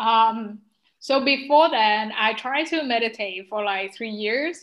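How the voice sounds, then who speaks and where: A woman speaks at a fairly high pitch. She has a non-native accent. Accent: non-native, trouble pronouncing some words. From Vietnam. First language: Vietnamese. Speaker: pharmacist and spiritual life coach. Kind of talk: interview testimony. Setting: remote call.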